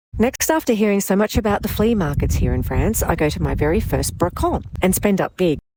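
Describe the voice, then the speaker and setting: A woman speaks in an Australian accent. Her pace is fairly quick. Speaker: vlogger. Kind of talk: vlog narration.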